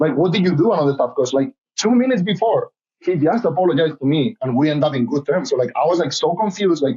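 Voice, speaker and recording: Speaking very fast in an animated tone, a man with a Spanish accent uses a high pitch, lively intonation and very even loudness. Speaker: reality TV contestant and model. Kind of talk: casual interview. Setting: podcast.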